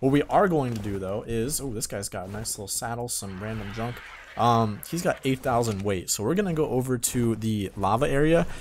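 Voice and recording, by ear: A man talks at a fairly quick pace, his medium pitch moving with ordinary variation.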